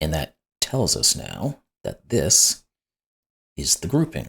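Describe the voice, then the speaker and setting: A man is speaking. His voice carries vocal fry. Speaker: sudoku puzzle YouTuber. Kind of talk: puzzle-solving tutorial commentary. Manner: conversational, thinking aloud.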